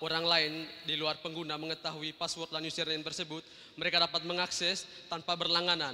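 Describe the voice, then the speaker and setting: At a fairly quick pace, a man speaks with a high pitch. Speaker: student. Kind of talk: audience question. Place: hall. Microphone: handheld.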